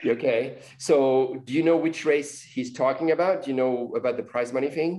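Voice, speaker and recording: In a French accent, a man with a fairly high pitch and dark, mellow tone speaks at a moderate pace with ordinary pitch variation and hardly any pauses. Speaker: podcast host. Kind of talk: interview.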